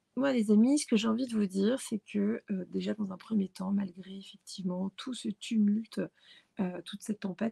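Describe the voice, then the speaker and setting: Somewhat breathy and dark, mellow in tone, a woman speaks at a medium pitch and a moderate pace in a dry, close sound with no echo. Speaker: tarot card reader. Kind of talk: tarot reading. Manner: halting, many hesitations.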